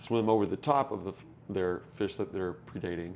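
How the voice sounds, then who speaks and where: Speaking fairly quickly, a man uses a very deep, low pitch with ordinary pitch variation. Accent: American. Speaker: podcast co-host, fish keeper. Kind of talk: casual chat. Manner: animated.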